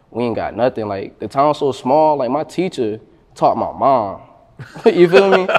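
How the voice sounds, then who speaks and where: A man's fairly high, lively voice with an American accent, at a moderate pace. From northern Florida (Madison and Jacksonville). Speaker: rapper. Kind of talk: casual interview. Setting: in-person interview.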